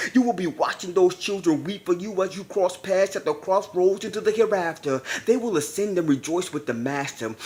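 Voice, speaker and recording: Over noticeable background noise, a man with a high voice speaks at a fairly quick pace in an intense tone, with lively intonation and hardly any pauses. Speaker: spoken word poet. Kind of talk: spoken word poetry performance. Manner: emotional, intense.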